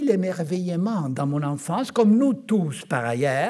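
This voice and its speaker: A man's high-pitched voice, dark and mellow in tone, with very wide pitch swings. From Argentina. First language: Spanish (speaking French). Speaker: physician. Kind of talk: conference talk. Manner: halting.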